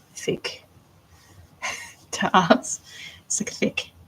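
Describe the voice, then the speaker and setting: A woman with an Australian accent. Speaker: artist live-streaming doll making. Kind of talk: casual live stream chat. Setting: live stream.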